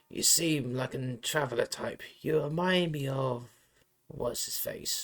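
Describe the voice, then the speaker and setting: Putting on a raspy character voice, a man speaks fairly slowly at a fairly high pitch, his intonation fairly even. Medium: solo performance. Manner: rambling, wandering, wistful.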